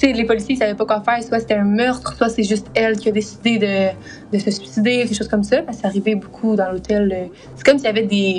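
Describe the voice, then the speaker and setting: A woman with a Quebec accent and a fairly high pitch speaks at a very fast pace with fairly even intonation. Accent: Québécois French. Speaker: podcast co-host. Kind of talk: casual storytelling podcast.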